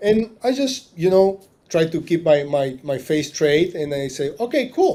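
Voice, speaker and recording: Speaking at a fairly slow pace, a man uses a dark, mellow tone at a fairly high pitch. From Argentina, Tucumán. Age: 40s. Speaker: marina business owner. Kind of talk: interview storytelling. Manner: halting, many repetitions.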